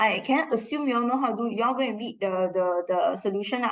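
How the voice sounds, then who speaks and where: Speaking fairly quickly in a Singaporean accent, a woman has a fairly high pitch and ordinary pitch variation. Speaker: school math teacher. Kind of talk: lesson revision for class.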